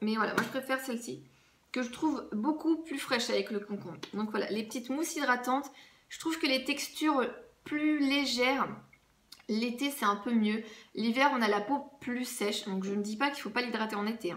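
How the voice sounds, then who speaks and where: This woman has a high pitch and ordinary pitch variation. She talks at a moderate pace. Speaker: beauty vlogger. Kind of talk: casual product review vlog.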